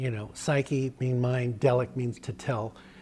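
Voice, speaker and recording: A man's voice, pitched in the middle range, comes through with music playing behind it. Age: 60s. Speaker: interviewer. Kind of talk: casual chat.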